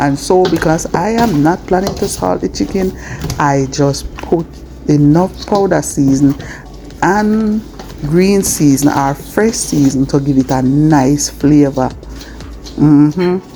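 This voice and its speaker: A soft-spoken woman with a Jamaican accent talks very slowly in a calm tone, her very deep, low voice moving with lively intonation over noticeable background noise. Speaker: cooking vlogger. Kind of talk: cooking tutorial voiceover. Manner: calm, soft-spoken.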